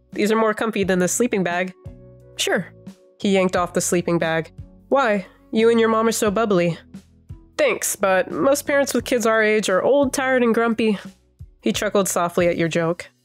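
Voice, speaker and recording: A woman with a fairly high voice speaks at a moderate pace, with ordinary pitch variation and very even loudness. Long pauses come often, and music plays in the background. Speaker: fanfic reader, ASMR roleplay narrator. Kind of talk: fanfic reading with roleplay dialogue. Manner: soft, intimate, ASMR-style.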